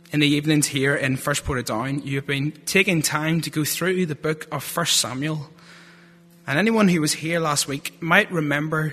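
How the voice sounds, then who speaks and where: A man with a strong Northern Irish accent speaks at a moderate pace in a bright, sharp tone, his pitch fairly high and its variation ordinary. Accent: Northern Irish, thick. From Northern Ireland (Lurgan). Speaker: theology student giving a sermon. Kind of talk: sermon. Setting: church.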